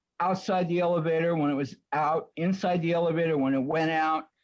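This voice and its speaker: Over a quiet background, a man talks at a moderate pace in a normal speaking voice with a fairly high pitch. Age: 60s. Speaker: tenant appellant. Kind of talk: testimony.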